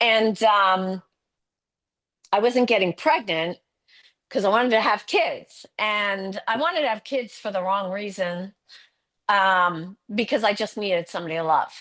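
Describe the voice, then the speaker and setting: A woman of medium pitch at a fairly slow pace, with ordinary pitch variation and long, frequent pauses. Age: 60s. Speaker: nurse and holistic health coach. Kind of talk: testimony. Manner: halting.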